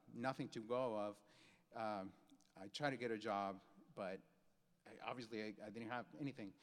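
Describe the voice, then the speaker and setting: A man with a Mexican accent talks at a moderate pace. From Mexico. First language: Spanish. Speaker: graphic designer, keynote speaker. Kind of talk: keynote speech. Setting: stage with audience. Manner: halting, many repeated words.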